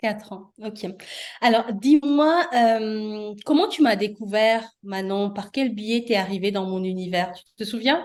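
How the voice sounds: At a fairly slow pace, a woman talks in a medium pitch with ordinary pitch variation.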